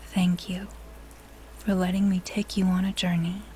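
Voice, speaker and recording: A woman speaks with a fairly low pitch. Noticeable background noise sits behind her. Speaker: voice artist. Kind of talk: sleep story. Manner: soothing, calm.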